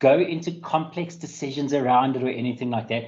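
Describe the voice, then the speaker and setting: A South African accent at a moderate pace. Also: man. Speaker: IT security specialist. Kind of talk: webinar presentation. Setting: online webinar.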